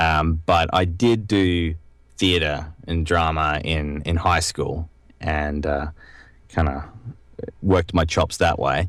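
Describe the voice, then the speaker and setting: A man's very deep, low voice with an Australian accent, very slow pace, long and frequent pauses, and fairly even intonation. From Australia (Brisbane). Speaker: voice actor. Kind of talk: podcast interview. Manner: hesitant, many fillers.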